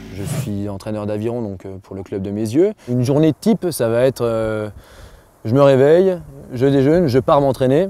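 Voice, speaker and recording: A man at medium pitch with a slight Jura accent, lively intonation, a moderate pace and big swings in loudness. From France, Jura (near Dole). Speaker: rower and rowing coach. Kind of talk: interview testimony. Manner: hesitant, many fillers.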